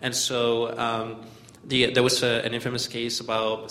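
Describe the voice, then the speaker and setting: A man's medium-pitched voice comes through noticeable background noise along with audible room echo. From Mexico, Chihuahua. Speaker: community organizer. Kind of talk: talk to a church group.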